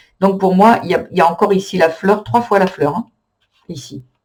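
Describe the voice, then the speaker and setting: This man has a high pitch and ordinary pitch variation. He speaks at a moderate pace. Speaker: tarot reader. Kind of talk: tarot reading. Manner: halting with many fillers.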